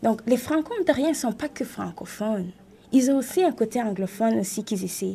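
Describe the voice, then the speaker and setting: Talking at a fairly quick pace, a woman has a fairly high pitch and a dark, mellow tone. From Rwanda. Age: 20s. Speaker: writer and event entrepreneur. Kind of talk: radio panel discussion.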